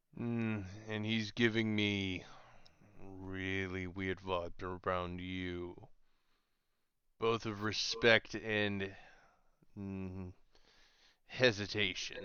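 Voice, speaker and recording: A man in a put-on character voice speaks very slowly at a fairly low pitch, with long, frequent pauses. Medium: actual play. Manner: gruff, slow, terse.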